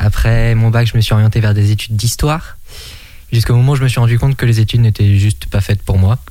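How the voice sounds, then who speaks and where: Very fast and somewhat breathy, a man speaks at medium pitch with a dark, mellow tone, very even loudness, and fairly even intonation. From Maine-et-Loire, western France. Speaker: antiques dealer. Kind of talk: radio interview.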